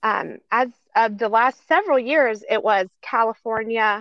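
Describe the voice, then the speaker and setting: In a plain, everyday voice, a woman speaks fairly high with ordinary pitch variation. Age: 50s. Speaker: trafficking survivor and advocate. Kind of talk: testimony.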